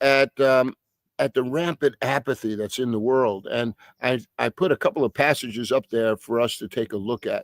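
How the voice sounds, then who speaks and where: A man speaks with a New York accent, and the sound is dry and close with no echo. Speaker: pastor. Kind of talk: bible study teaching. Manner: halting with frequent fillers and repetitions.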